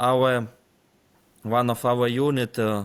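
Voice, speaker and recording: Speech in a Ukrainian accent moves at a very slow pace with fairly even intonation. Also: man. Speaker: military intelligence officer. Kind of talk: interview. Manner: halting, many fillers.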